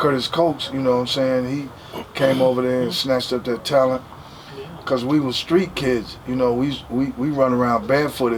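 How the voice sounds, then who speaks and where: A man talks at a moderate pace with an American accent and fairly even intonation. Noticeable background noise is present. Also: medium pitch for a man. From Dallas, Texas. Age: 60s. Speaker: record label executive. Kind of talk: casual interview.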